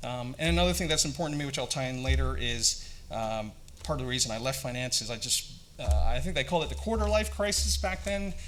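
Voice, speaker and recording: Talking at a very fast pace in a North American accent, a man at medium pitch makes very wide pitch swings amid audible room echo. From Singapore (American school), Canadian-born to Vietnamese parents. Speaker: company founder. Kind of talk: conference presentation. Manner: hesitant, many fillers; hurried.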